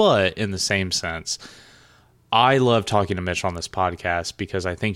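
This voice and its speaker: A man's very deep, low voice with a bright, sharp tone and a Southern US accent, at a moderate pace with ordinary pitch variation, on a very clean recording with a silent background. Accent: Southern US twang. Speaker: podcast co-host. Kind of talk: casual chat.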